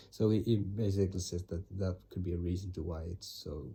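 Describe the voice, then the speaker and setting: Here a man speaks at a very deep, low pitch. His voice is somewhat breathy, with fairly even intonation. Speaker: vlogger summarizing his reading. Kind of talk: casual monologue. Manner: halting, many fillers and restarts.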